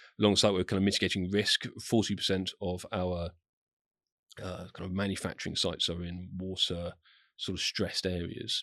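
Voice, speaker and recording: Very deep, low pitch from a man with a southern English accent, bright, sharp in tone, monotone and flat, at a moderate pace against a quiet background. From southern England, Southampton. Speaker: corporate communications executive. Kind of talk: interview. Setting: studio. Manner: hesitant, many fillers.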